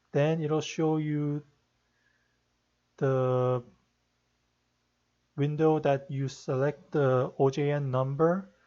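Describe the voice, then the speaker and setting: A soft-spoken man with a fairly high pitch and a dark, mellow tone, very slow and monotone, with flat intonation, long, frequent pauses and a quiet background. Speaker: rhythm game tutorial maker; tutorial maker. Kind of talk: tutorial; screen-capture tutorial. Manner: hesitant. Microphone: no proper microphone, quiet; webcam.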